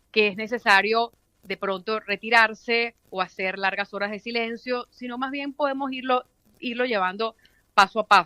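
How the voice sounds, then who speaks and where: A bright, sharp tone at a moderate pace, with ordinary pitch variation, big swings in loudness and a dry, close sound with no echo. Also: woman, fairly high pitch for a woman. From Venezuela. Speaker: radio announcer. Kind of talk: interview answer. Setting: phone line.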